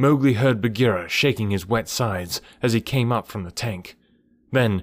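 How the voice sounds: Pitch varies in an ordinary way as a natural reading voice goes on.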